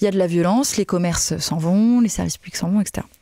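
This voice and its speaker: A woman's dark, mellow voice with ordinary pitch variation comes through a dry sound with no echo and a quiet background. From southern France, Nîmes; southern France. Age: 30s. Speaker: politician, party spokesperson. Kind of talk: interview. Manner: hesitant with many fillers. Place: studio. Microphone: studio mic.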